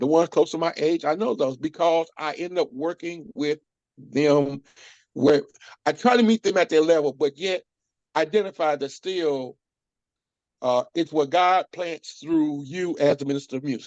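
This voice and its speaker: A man speaks in an unremarkable speaking voice, fairly high in pitch, at a moderate pace with ordinary pitch variation. The sound is dry and close with no echo, over a quiet background. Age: 60s. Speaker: church minister of music. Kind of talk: interview conversation.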